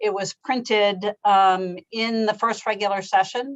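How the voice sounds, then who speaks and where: This woman has an unremarkable speaking voice, fairly high in pitch, with ordinary pitch variation and a fairly slow pace. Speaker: legislative staff analyst. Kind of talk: committee presentation.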